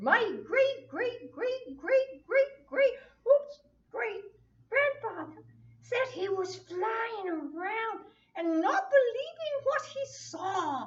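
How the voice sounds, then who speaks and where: This is a cartoonish character voice pitched extremely high. It moves at a very slow pace. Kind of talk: children's church puppet show. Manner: buzzing, playful.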